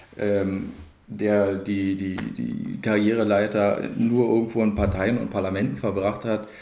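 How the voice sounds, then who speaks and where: In a room with audible echo, a man speaks at a fairly slow pace with fairly low pitch and fairly even intonation. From Cottbus, Brandenburg (Lusatia). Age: 30s. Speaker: mayoral candidate. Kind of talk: interview.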